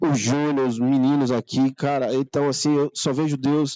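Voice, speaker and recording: The intonation stays monotone and flat. Speech moves along fairly slowly. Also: man. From Northeast Brazil, Maceió, Alagoas. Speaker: church member. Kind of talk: testimony. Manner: halting.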